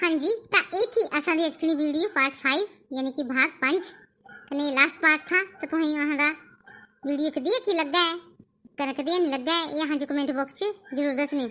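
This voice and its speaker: A woman speaks in a put-on character voice that is squeaky and high-pitched. Her pace is moderate. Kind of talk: casual vlog sign-off. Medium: cartoon.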